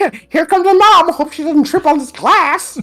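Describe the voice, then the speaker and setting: This is a put-on character voice pitched extremely high. The pace is moderate. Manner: exaggerated, comedic.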